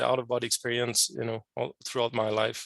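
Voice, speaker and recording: Speaking at a moderate pace, a man talks with a French Canadian accent. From Quebec, Canada. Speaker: scientist and amateur radio operator. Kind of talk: podcast interview. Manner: hesitant, many fillers.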